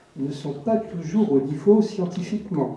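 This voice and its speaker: A man's high voice with very wide pitch swings, at a fairly slow pace, in audible room echo. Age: 60s. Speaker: audience member asking a question. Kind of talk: audience question at a public debate. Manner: halting, many hesitations.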